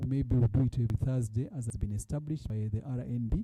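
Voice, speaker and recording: A man at a medium pitch and fairly quick pace, somewhat breathy, dark and mellow in tone, with ordinary pitch variation. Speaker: fund board chair. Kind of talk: report presentation. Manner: halting.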